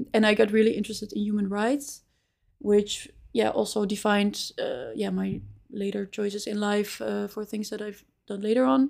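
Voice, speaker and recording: Speech comes at a moderate pace in a Dutch accent, with fairly even intonation. The recording is very clean, with a silent background. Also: woman, medium pitch for a woman. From Netherlands, Amsterdam. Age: 20s. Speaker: recruiter. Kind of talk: interview.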